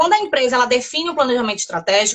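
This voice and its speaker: Bright and sharp in tone, a woman's high-pitched voice moves with lively intonation. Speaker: civil engineer and quality consultant. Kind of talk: live webinar interview.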